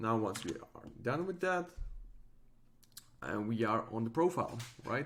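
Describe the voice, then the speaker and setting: A man with medium pitch at a moderate pace, on a very clean recording with a silent background. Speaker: tech tutorial creator. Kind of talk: tutorial. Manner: hesitant, many fillers.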